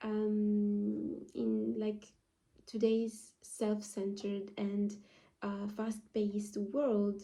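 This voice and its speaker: Spoken at a very slow pace, the voice has a dark, mellow tone and fairly even intonation. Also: woman. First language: not English. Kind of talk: casual talk to camera. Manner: halting, many fillers.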